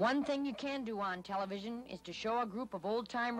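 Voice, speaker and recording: With an ordinary speaking voice, a woman talks at a moderate pace with ordinary pitch variation. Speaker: TV news reporter. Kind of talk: TV news voice-over report.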